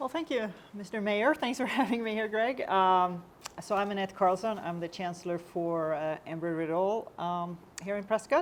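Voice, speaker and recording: Speaking at a moderate pace, a woman with a Swedish accent uses a medium pitch and lively intonation. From Sweden. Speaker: university chancellor. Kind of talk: panel discussion.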